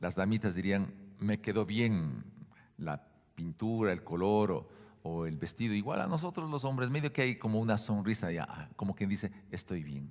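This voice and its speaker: A man with a fairly low pitch speaks in a plain, everyday voice at a moderate pace. His intonation is lively, and the recording is very clean with a silent background. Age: 60s. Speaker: pastor. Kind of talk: sermon. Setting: church.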